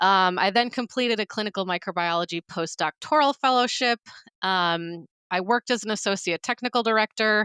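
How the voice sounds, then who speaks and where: The voice, in an American accent, moves at a fairly quick pace with a bright, sharp tone and a dry, close sound with no echo. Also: woman, medium pitch for a woman, ordinary pitch variation, very clean recording, silent background. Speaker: microbiologist and author. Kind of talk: podcast interview.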